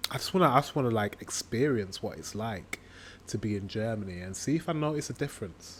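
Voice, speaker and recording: A man with a northern English accent, lively intonation and a fairly quick pace. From northern England. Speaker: reaction video creator. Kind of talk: casual reaction commentary. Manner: hesitant, filler-heavy.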